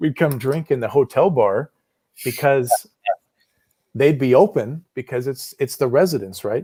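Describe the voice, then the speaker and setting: Speaking with an American accent, a man has a fairly high pitch for a man, a dark, mellow tone and a somewhat breathy sound, with ordinary pitch variation, a fairly slow pace and long, frequent pauses, all recorded dry and close with no echo. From United States. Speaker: livestream chat participant. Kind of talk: casual chat.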